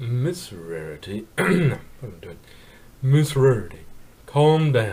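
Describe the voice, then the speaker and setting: A man's put-on character voice at medium pitch, fairly slow, with long, frequent pauses and very wide pitch swings. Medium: read story. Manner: terse, calm.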